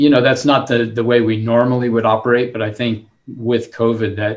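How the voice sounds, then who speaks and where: Somewhat breathy, a medium-pitched man with an American accent speaks at a moderate pace. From southern California. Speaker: city manager. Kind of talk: panel discussion.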